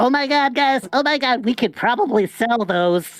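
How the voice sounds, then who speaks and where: A put-on character voice sounds female and high-pitched. Faint music plays in the background. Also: moderate pace. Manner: silly.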